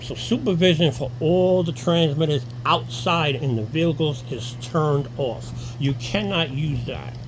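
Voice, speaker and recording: A man with an American accent speaks at a medium pitch with ordinary pitch variation. Audible room echo and noticeable background noise are present. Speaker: alarm installer. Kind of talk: tutorial. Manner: halting, self-correcting; casual.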